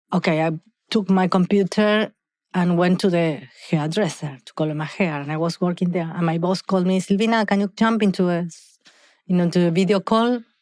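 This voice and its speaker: Against a quiet background, a woman talks fairly quickly in a fairly low voice with fairly even intonation. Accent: Argentine. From Argentina. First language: Spanish. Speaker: hair care entrepreneur. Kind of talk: podcast interview. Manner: halting, self-correcting.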